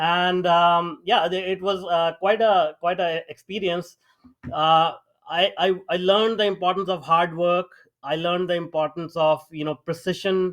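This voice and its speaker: Speaking with an Indian accent at a fairly slow pace, a man has a high pitch. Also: fairly even intonation. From small town in India. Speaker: AI startup founder and mentor. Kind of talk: interview. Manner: hesitant, many fillers.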